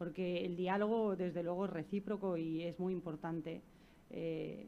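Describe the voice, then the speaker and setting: Fairly low in pitch, a woman's dark, mellow voice moves at a fairly slow pace with fairly even intonation. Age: 40s. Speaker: neuroscientist. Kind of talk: talk to school students.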